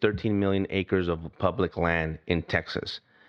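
The speaker is a man. His voice is fairly low in pitch. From US, Mexican-American heritage. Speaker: retired federal agent. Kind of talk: campaign pitch; interview testimony. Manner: halting.

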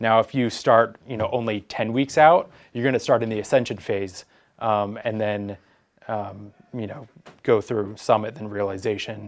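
Against a quiet background, a man at a medium pitch and moderate pace uses fairly even intonation and a plain, everyday voice, with big swings in loudness. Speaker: throws coach. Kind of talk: casual podcast chat.

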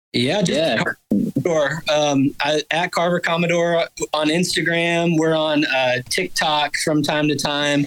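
Speaking very slowly in an Alabama accent, a man keeps a very even loudness, his fairly high pitch showing ordinary variation. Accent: Southern US (Alabama). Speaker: bassist in a band. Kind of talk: casual chat.

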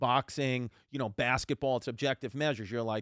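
A man with a New York accent speaks fairly quickly at a medium pitch, his pitch moving in an ordinary way. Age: 30s. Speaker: comedian. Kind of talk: casual chat.

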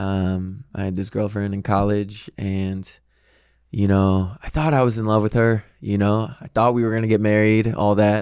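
A man with an American accent speaks in a normal speaking voice at a moderate pace, his fairly low pitch carried on fairly even intonation over a very clean recording with a silent background. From US Midwest, St. Louis, Missouri. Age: 20s. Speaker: aspiring actor, dating show contestant. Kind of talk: casual chat. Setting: studio.

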